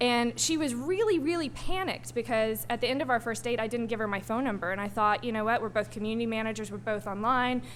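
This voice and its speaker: Talking at a very fast pace, a woman with an American accent uses a fairly high pitch, and the room echo is audible. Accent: Southern US, comes out when nervous. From US South, Arkansas. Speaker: digital strategist, panel speaker. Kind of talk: panel talk. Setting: stage with audience. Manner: hesitant, many ums.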